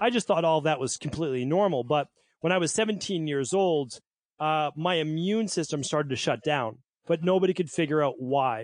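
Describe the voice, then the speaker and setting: In an American accent and an unremarkable speaking voice, a man with a fairly high pitch speaks at a fairly quick pace, with ordinary pitch variation and very even loudness against a quiet background. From Massachusetts (Medford, Boston area). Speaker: naturopathic doctor. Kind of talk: interview.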